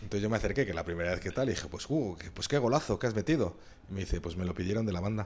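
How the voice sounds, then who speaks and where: With lively intonation and a fairly low pitch, a man talks at a very fast pace. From Spain, Madrid. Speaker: former professional footballer. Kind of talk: interview storytelling. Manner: halting, many fillers and repetitions.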